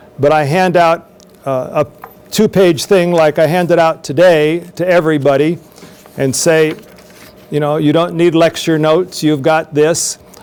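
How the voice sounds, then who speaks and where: Over noticeable background noise, a man speaks fairly slowly with a fairly high pitch. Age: 60s. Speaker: professor. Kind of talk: lecture Q&A. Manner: halting.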